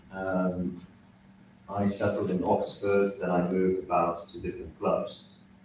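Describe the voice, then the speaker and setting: A man talks at a moderate pace, with audible room echo in the recording. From Poland. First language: Polish. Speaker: cycle speedway rider. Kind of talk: self-introduction at council meeting. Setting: council meeting room.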